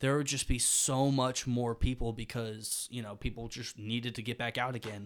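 Flat and monotone in intonation, a man with a Southern US accent speaks at medium pitch and a moderate pace on a very clean recording with a silent background. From Birmingham, Alabama. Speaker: university student. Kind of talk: interview.

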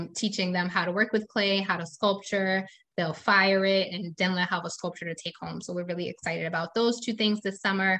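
A woman with a plain, everyday voice in an American accent, medium pitch and fairly even intonation, against a quiet background. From New Jersey. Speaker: nonprofit founder, environmental educator. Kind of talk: casual interview chat.

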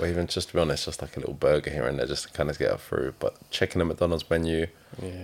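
A man's very deep, low voice with vocal fry, fairly even in intonation, at a very fast pace. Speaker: osteopath. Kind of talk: casual chat.

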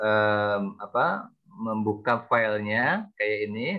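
His pitch is in the middle range. The man talks very slowly. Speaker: class coordinator. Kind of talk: casual chat. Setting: video call.

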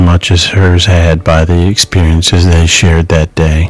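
A man's very deep, low voice moves at a moderate pace in a monotone, flat intonation, with noticeable background noise behind it. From Michigan. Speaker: podcast host. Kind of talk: scripted narration. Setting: home recording in an apartment.

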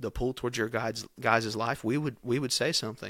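A man with a Kentucky accent speaks at a fairly quick pace. His pitch sits in the medium range, and his intonation is monotone and flat. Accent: Kentucky Southern US. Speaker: youth pastor. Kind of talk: casual chat.

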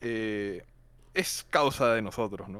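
At a very slow pace, a man with a medium pitch speaks in a very clean recording with a silent background. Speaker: film student. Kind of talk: casual chat. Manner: shy, hesitant.

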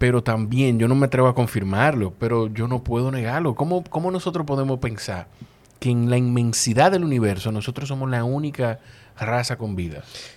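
In a Dominican accent, a man talks at a fairly quick pace with a medium pitch. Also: ordinary pitch variation. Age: old. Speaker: podcast host. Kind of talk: casual interview.

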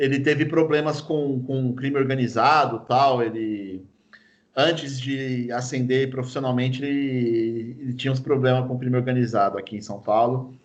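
Audible room echo surrounds a man speaking at a moderate pace and medium pitch, his intonation fairly even. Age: 30s. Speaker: football fan guest. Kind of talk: casual chat.

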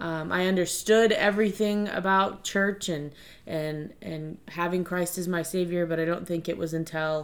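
With an American accent, a woman talks at a fairly slow pace in an unremarkable speaking voice, fairly low-pitched with fairly even intonation. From Virginia, Stafford County. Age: 30s. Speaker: podcast co-host, schoolteacher. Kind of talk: casual chat.

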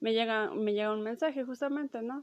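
Against a quiet background, a woman with a Mexican accent speaks at a fairly high pitch with ordinary pitch variation. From Mexico. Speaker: podcast host. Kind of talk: storytelling monologue. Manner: casual, with many fillers.

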